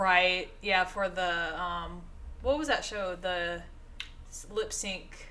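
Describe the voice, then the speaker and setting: In an audible room echo, a woman with a Southern US accent speaks very slowly at a medium pitch with a bright, sharp tone. Her loudness swings widely, while her pitch varies in an ordinary way. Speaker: podcast co-host. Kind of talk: casual chat.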